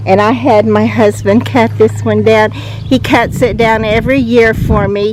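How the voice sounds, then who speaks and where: A woman with a very deep, low pitch talks fairly slowly with very wide pitch swings, amid noticeable background noise and audible room echo. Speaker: gardening vlogger. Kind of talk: casual garden walk-through vlog. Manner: relaxed, with frequent fillers.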